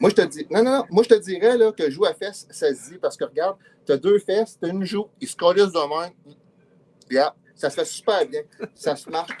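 Talking fairly quickly in a high voice with a Quebec accent, a man uses lively intonation, big swings in loudness and long, frequent pauses, and the sound is dry and close with no echo. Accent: Québécois French. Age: 50s. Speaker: comedian. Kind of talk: comedic quiz show.

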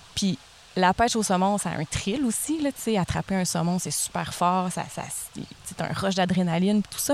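This woman has a normal speaking voice at a medium pitch, talking at a moderate pace with ordinary pitch variation. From Gaspésie, Quebec. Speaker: speech therapist. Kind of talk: casual chat.

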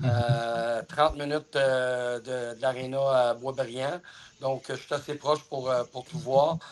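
Against noticeable background noise, a man speaks very slowly at a medium pitch with monotone, flat intonation. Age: 50s. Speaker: hockey player agent. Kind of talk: interview.

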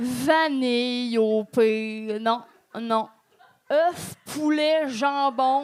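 A woman's high-pitched voice at a very slow pace. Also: ordinary pitch variation. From regional Quebec. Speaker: stand-up comedian. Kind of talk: stand-up. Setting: stage with audience.

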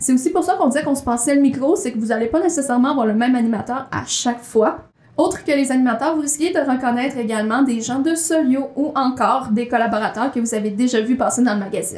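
A woman with a Quebec accent talks at a very fast pace with hardly any pauses, her pitch high and its variation ordinary. Noticeable background noise sits behind her. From rural Quebec. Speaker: magazine coordinator and podcast co-host. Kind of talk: casual chat. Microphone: room echo.

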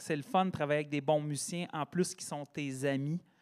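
An unremarkable speaking voice from a fairly high-pitched man, with a moderate pace and fairly even intonation, on a very clean recording with a silent background. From Quebec, Sherbrooke region. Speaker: singer-songwriter and teacher. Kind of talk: casual interview chat.

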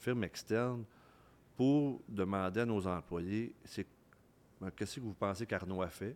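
The man talks at a fairly slow pace with ordinary pitch variation. The recording is very clean, with a silent background. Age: 50s. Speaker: business executive. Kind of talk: casual interview. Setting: microbrewery, recorded live. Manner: halting, repeats words.

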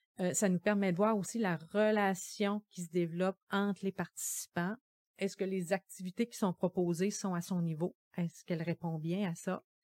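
A woman talks at a moderate pace in a normal speaking voice, with medium pitch and fairly even intonation. The sound is dry and close with no echo, and the recording is very clean over a silent background. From Gaspésie, Quebec. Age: 50s. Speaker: social worker. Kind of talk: podcast interview.

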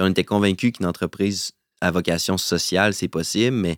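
On a very clean, dry, close recording with no echo and a silent background, a man with a Quebec accent speaks at a moderate pace in a very deep, low pitch with fairly even intonation. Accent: Québécois French. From Quebec City. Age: 30s. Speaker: entrepreneur. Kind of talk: interview.

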